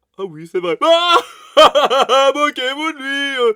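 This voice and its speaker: A man does a put-on character voice, raised and projected. He pitches it extremely high and speaks at a very slow pace. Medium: actual play. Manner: hot-headed.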